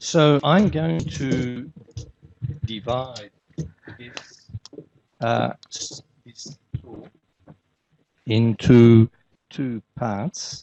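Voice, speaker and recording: With long, frequent pauses and big swings in loudness, a man speaks at a very slow pace and medium pitch with lively intonation. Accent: Australian. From Australia. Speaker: conference keynote speaker, healthcare manager. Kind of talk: conference lecture.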